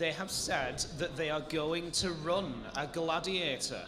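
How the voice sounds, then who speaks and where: At a very slow pace, a man speaks at a fairly high pitch, with audible room echo and noticeable background noise. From northern England, Manchester. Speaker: event commentator. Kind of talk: live commentary. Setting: live event venue.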